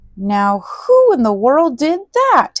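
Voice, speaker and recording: A put-on character voice, high-pitched, swings very widely in pitch. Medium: read story.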